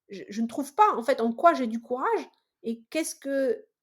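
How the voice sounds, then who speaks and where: A woman's high-pitched voice. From Mediterranean region. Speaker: engineer, salesperson and entrepreneur. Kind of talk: podcast interview. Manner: loud, animated; hesitant with frequent repetitions.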